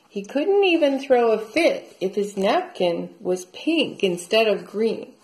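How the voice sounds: Reading in a natural voice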